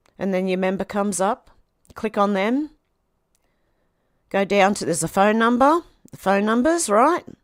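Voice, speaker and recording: A woman's medium-pitched voice with an Australian accent and lively intonation, at a moderate pace with long, frequent pauses, in a dry, close sound with no echo. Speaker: political commentary vlogger. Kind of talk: casual monologue.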